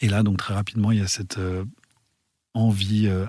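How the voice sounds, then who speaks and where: This man's fairly low voice is somewhat breathy, with fairly even intonation. The sound is dry and close with no echo, on a very clean recording with a silent background. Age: young. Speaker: interview guest sharing life story. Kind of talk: personal testimony interview. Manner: halting, many hesitations.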